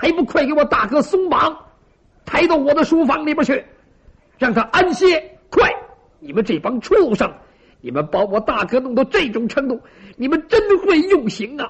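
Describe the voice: In a loud, put-on character voice, a man speaks at a moderate pace, extremely high in pitch and full of big pitch swings.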